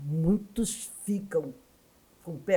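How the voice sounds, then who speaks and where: Very slowly, a woman speaks in a somewhat breathy voice with very wide pitch swings. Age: 70s. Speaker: education scholar and former union activist. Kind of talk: podcast interview.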